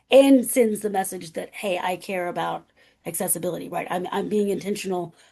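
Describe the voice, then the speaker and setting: Medium in pitch, a woman's voice has a dark, mellow tone with vocal fry. Her pitch variation is ordinary. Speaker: academic speaker on accessibility. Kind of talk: webinar presentation. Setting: video call. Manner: halting.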